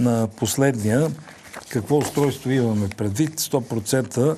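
Talking very slowly, a man keeps his pitch variation ordinary. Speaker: TV show host. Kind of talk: TV host introduction. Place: studio. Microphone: lapel.

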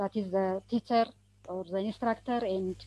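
The woman's voice has a dark, mellow tone at a medium pitch. She keeps her intonation fairly even. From Ethiopia. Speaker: midwifery project manager. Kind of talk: webinar presentation. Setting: online call from Ethiopia. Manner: halting. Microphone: too quiet.

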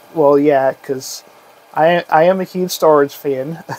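This man talks at a very slow pace with ordinary pitch variation, noticeable background noise behind him. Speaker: realtor. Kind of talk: casual talk to camera.

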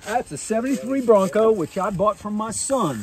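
A man's lively intonation in a dry sound with no echo. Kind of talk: interview answer. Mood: warm, heartfelt storytelling. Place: open country. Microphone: phone near.

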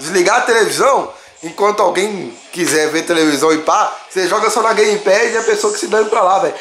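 Amid audible room echo and faint music in the background, a man with a high pitch speaks in an animated tone with lively intonation at a fairly quick pace. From Brazil. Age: 20s. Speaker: gaming youtuber. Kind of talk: gameplay review video. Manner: casual slangy. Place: home room. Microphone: phone near.

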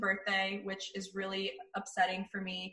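A woman talks at a moderate pace against a quiet background, with audible room echo. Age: 30s. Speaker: radio host and video show host; radio host, video show host. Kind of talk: reading quiz questions aloud; casual chat. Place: home room. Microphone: video call.

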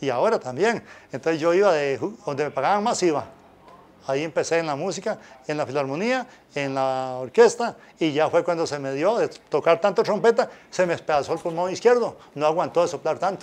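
Talking at a fairly quick pace, a man uses a high pitch and lively intonation. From Costa Rica, Pérez Zeledón (San Isidro); Costa Rica. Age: 60s. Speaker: former football referee and music teacher; interview guest. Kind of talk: interview. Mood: relaxed, animated. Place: studio. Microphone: lapel.

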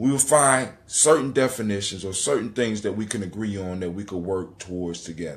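This man speaks at a moderate pace with a fairly bright tone and ordinary pitch variation.

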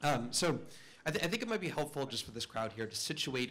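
Words pour out of a man at a very fast pace. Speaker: conference speaker. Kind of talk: conference talk. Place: hall. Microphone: podium.

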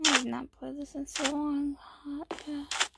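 A soft-spoken woman's high voice at a very slow pace. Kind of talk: casual gameplay commentary. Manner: quiet, soft.

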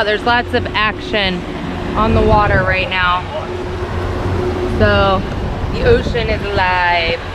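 A woman's speech with long, frequent pauses over loud background noise. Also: dry sound with no echo. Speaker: family vlogger. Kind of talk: casual vlog chat. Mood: upbeat, excited. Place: boat. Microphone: phone near.

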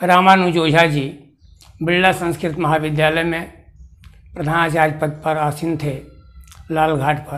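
Speaking at a fairly slow pace, a man with a fairly high pitch uses monotone, flat intonation and leaves long, frequent pauses. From Bihar, Bhojpur district; Bihar. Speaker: retired astrology teacher, Sanskrit scholar. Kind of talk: autobiographical account. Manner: slow, halting with many pauses. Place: home room.

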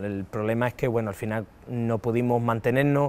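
The speech moves at a fairly quick pace. Intonation stays fairly even. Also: man. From Andalusia, Cádiz province (Valle del Guadiaro); Andalusia, Spain. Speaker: retired footballer. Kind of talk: interview. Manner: halting, many repetitions and fillers. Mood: warm, nostalgic, laughing at times. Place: stadium. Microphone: lapel.

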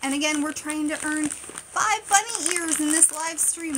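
Over noticeable background noise, a woman with a high pitch speaks in an animated tone at a moderate pace. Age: 30s. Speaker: live-stream unboxing creator. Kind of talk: casual live stream chat. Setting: live stream. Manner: chatty, animated. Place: home room. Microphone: phone near.

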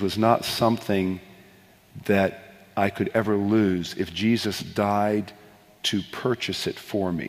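With an unremarkable speaking voice, a man talks in a fairly low pitch and fairly even intonation. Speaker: worship leader and author; interview guest. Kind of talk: interview answers on stage. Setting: live broadcast in a church with audience. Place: stage.

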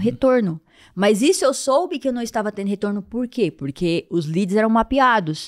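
Over a quiet background, a woman with a fairly high pitch speaks at a fairly quick pace with lively intonation. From Piauí, Brazil. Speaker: vascular surgeon; podcast guest. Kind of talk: interview. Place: studio. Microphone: studio mic.

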